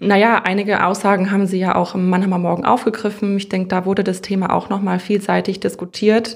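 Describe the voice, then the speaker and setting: A woman speaks very fast at medium pitch, with monotone, flat intonation and hardly any pauses, on a very clean recording with a silent background. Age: 30s. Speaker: social worker, counseling center director. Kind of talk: interview.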